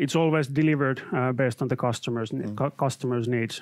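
A man with a Finnish accent speaks at a fairly quick pace in a dry, close sound with no echo. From Finland. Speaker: IT consultant and trainer. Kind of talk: live webcast presentation. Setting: studio.

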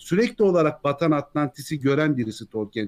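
A man with a normal speaking voice, fairly high pitch and lively intonation, at a fairly quick pace. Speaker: YouTube Tolkien lore narrator. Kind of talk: casual chat.

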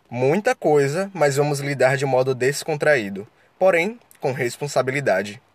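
A man speaks at a fairly slow pace with lively intonation. His pitch is fairly high. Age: 20s. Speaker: podcast host, law student. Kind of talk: solo podcast introduction. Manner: animated.

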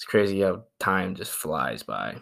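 The man talks with an American accent. His recording is very clean and the background silent. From Idaho. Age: young. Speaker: podcast co-host, college student. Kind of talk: casual chat.

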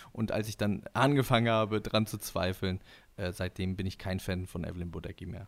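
A man talks at a fairly quick pace with fairly even intonation. He has a plain, everyday voice. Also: fairly low pitch for a man. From northern Germany (Husum). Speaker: musician and podcaster. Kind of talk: casual chat.

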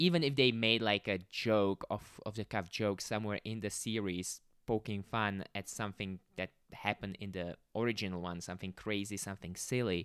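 On a very clean recording with a silent background, a man with a fairly low pitch talks at a moderate pace, using ordinary pitch variation in a dry, close sound with no echo. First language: not English (non-native speaker). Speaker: podcast host. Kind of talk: solo podcast monologue, casual. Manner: casual, upbeat, conversational.

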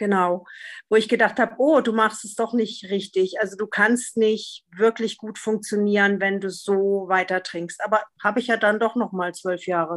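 A woman speaks at a moderate pace and medium pitch in an ordinary speaking voice, with fairly even intonation. The recording is very clean, with a silent background. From Freiburg, southwestern Germany. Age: 50s. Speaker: podcast guest, recovering drinker. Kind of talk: casual interview conversation.

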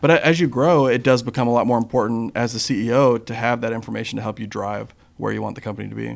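A man speaks very fast with hardly any pauses, his intonation fairly even and his voice showing vocal fry. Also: medium pitch for a man. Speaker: entrepreneur who sold companies. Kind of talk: casual chat.

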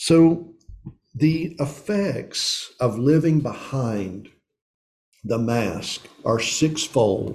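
A man's voice has a dark, mellow tone and is somewhat breathy, with ordinary pitch variation. Room echo is audible. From East Tennessee. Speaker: pastor / men's ministry teacher. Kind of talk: sermon.

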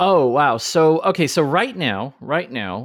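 The voice of a man comes through dry and close with no echo on a very clean recording with a silent background. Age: 40s. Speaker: maker. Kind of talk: casual chat. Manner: animated.

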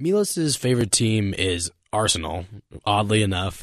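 Against a quiet background, a man with an American accent speaks fairly slowly at a fairly low pitch in a normal speaking voice. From Las Vegas, Nevada. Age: 20s. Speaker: radio intern. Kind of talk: casual chat.

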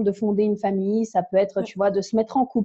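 A woman talks at a fairly quick pace. Her tone is dark and mellow, and somewhat breathy. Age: 20s. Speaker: language enthusiast and podcaster. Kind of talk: casual interview.

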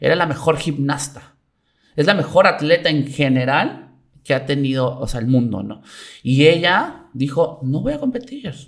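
A somewhat breathy male voice, fairly high in pitch, with ordinary pitch variation at a fairly slow pace. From Mexico, Veracruz (Coatzacoalcos). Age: 30s. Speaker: taekwondo athlete and coach. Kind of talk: casual interview chat.

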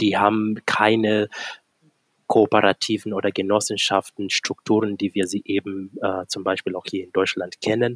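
A man's monotone, flat delivery at a moderate pace, dry and close with no echo. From Kenya. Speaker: startup founder. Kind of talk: podcast interview.

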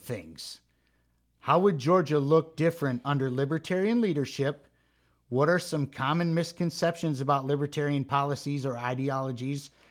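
Here a man with a plain, everyday voice, fairly high in pitch, talks at a moderate pace with ordinary pitch variation in a very clean recording over a silent background. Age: 40s. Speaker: podcast host. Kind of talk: casual interview.

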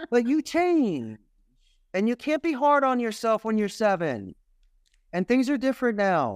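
A man with a Philadelphia accent and an extremely high pitch, lively intonation, a fairly slow pace and long, frequent pauses, in a very clean, dry, close recording with no echo and a silent background. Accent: Philadelphia American. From Philadelphia, US. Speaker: call center owner in Costa Rica. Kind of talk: casual interview chat.

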